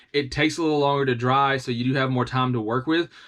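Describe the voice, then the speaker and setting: In a Southern US accent, a man speaks with a fairly high pitch. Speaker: tabletop terrain hobbyist YouTuber. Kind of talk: tutorial. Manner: casual, with frequent fillers and restarts.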